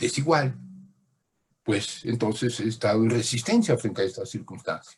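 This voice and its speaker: There is a somewhat breathy quality to this man's voice, which shows ordinary pitch variation. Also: medium pitch for a man, moderate pace. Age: 80s+. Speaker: lecturer. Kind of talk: lecture. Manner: halting.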